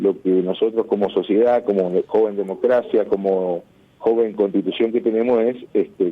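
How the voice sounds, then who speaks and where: Medium in pitch, a man keeps his loudness very even. His pace is moderate and his intonation fairly even. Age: 50s. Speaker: lawyer. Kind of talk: radio interview. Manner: halting, many fillers.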